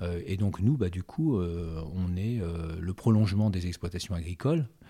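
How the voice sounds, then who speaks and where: Over a very clean recording with a silent background, a man with a very deep, low pitch and a dark, mellow tone speaks fairly slowly with ordinary pitch variation. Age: 60s. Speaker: agricultural cooperative director. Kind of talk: interview. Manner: hesitant, many fillers.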